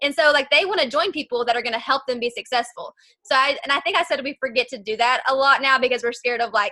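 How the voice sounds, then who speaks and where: A woman's high, raised, projected voice at a very fast pace. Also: ordinary pitch variation. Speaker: network marketing distributor. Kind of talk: video call interview. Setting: video call. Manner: animated.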